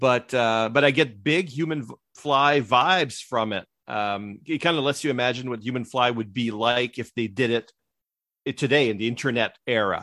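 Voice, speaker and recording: Speaking at a moderate pace in a French Canadian accent, a man with a medium-pitched voice has a bright, sharp tone. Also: ordinary pitch variation. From Quebec. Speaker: comic book blogger and podcaster. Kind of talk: casual chat. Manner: halting.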